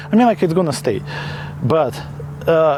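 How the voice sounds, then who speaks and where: A man talks over noticeable background noise. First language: not English. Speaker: product reviewer. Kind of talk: product review. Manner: halting, many fillers; casual.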